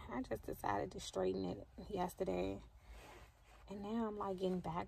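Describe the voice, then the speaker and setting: A woman's voice, dry with no echo, over light background noise. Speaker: vlogger. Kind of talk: casual vlog chat. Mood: relaxed, bored, chatty. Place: car. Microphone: phone near.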